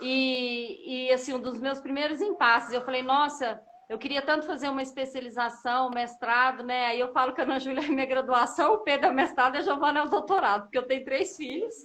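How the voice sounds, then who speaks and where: A woman with a high voice speaks at a fairly quick pace with hardly any pauses. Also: ordinary pitch variation. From Brazil, Minas Gerais (Uberlândia, Triângulo Mineiro). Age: 40s. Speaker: mother of a child with a rare disease. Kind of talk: interview testimony.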